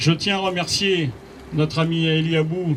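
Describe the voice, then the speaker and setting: Noticeable background noise sits under a man speaking with fairly even intonation. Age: 60s. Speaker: municipal candidate, retired police officer. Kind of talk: campaign speech. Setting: campaign office inauguration with audience.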